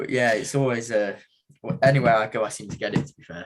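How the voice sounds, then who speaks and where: Speaking at a fairly quick pace, a man with a medium pitch talks in an East Midlands accent. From England, Mansfield (East Midlands). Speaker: professional boxer. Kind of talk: casual chat.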